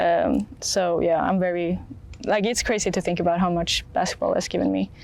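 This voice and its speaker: The speaker has a Swedish accent and keeps the loudness very even. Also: woman, moderate pace. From Sweden. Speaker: college athlete. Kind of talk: interview. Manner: hesitant, many fillers.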